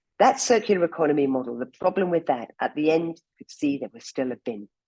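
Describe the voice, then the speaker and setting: A woman's very deep, low voice with a dark, mellow tone, fairly quick pace, very wide pitch swings and big swings in loudness, in a dry, close sound with no echo. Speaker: campaign founder giving a talk. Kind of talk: presentation talk. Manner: fast.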